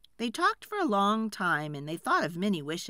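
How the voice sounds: Natural-sounding reading.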